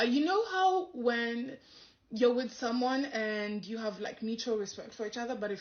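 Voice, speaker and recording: Speaking at a moderate pace, a woman with a somewhat breathy, fairly high voice uses lively intonation. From Kenya, Nairobi. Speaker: comedian and content creator. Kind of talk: casual storytelling interview answer.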